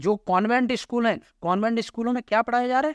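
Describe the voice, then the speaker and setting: A man speaks with a high-pitched voice. The recording is very clean and dry, close-miked with no echo and a silent background. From Uttar Pradesh, India. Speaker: youth speaker, gurukul-educated. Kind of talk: interview, speech-like oratory. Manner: animated.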